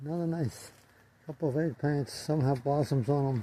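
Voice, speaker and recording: The voice belongs to a man and is pitched fairly high. There is a somewhat breathy quality to it. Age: 80s+. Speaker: gardener. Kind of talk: casual narration. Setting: greenhouse tunnel. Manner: halting.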